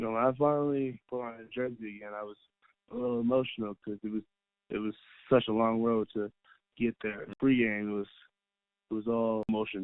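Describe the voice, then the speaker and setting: Mumbling from a man at medium pitch, monotone and flat, fairly quick but broken by long, frequent pauses. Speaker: college basketball player. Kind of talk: interview. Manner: soft-spoken.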